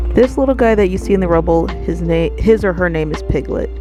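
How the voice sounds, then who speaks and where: Music plays in the background behind a woman. She speaks at a fairly quick pace. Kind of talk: casual gameplay commentary. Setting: recorded on phone.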